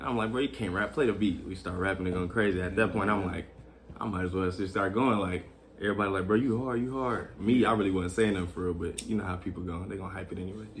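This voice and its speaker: A man speaks very fast in an American accent with a fairly low pitch and fairly even intonation. There is audible room echo. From Texas, Killeen. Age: 20s. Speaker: rapper. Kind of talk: interview.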